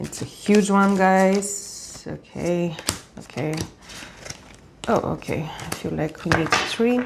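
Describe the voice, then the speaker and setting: Noticeable background noise accompanies a woman with a non-native accent who speaks at a very slow pace, with ordinary pitch variation and long, frequent pauses. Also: medium pitch for a woman. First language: not English. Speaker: tarot reader. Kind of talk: tarot reading to camera. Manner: casual, with fillers and self-corrections.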